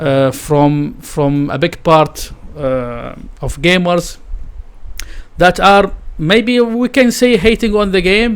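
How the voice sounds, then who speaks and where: Very slow speech from a man with a high pitch and a non-native accent. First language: not English. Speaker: gaming streamer. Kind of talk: live stream reaction commentary. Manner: halting, many fillers.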